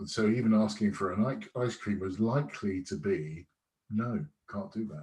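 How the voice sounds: With a slightly mellow tone, a man speaks at a fairly low pitch and ordinary pitch variation.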